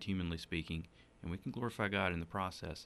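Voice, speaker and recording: This man speaks in a Southern US accent with a very deep, low pitch and a bright, sharp tone, recorded very cleanly against a silent background. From South Carolina (Upstate, rural Donalds). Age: 30s. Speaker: state legislator. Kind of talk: interview. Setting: studio.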